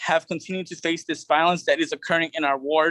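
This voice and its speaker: Recorded with a dry, close sound, no echo and a quiet background, a man speaks at a high pitch in a flat monotone. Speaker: city council candidate. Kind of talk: candidate forum answers. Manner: fast.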